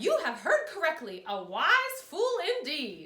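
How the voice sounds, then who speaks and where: A put-on character voice, pitched high, moves along at a fairly slow pace. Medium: read story.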